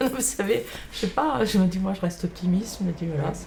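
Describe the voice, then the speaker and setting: A woman's medium-pitched voice moves with lively intonation as noticeable background noise plays underneath. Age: 60s. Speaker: grandmother raising her grandson. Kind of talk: interview testimony. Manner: hesitant, filler-heavy.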